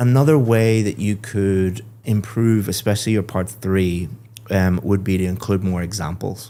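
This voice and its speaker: In an Irish accent, a man speaks with a fairly low pitch and a dark, mellow tone. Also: fairly even intonation, moderate pace. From Ireland. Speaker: IELTS speaking examiner / English teacher. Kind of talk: feedback on a mock speaking test.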